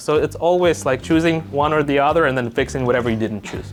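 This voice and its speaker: With music playing in the background, a man talks at a fairly quick pace. He has a non-native accent and lively intonation. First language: not English. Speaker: real estate broker. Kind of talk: casual chat. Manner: halting.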